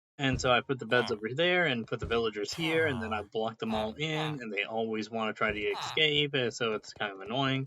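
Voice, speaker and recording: Using a bright, sharp tone, a man speaks at medium pitch and a fairly quick pace, with ordinary pitch variation and hardly any pauses. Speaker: gaming youtuber. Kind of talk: gameplay tutorial. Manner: hesitant, many fillers.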